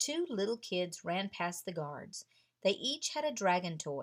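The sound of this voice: This is an unforced reading voice. It reads the text aloud.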